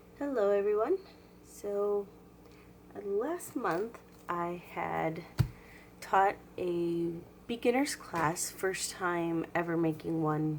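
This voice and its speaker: A woman's fairly low-pitched voice at a very slow pace, with long, frequent pauses. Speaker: crafts tutorial host. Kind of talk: craft tutorial instruction.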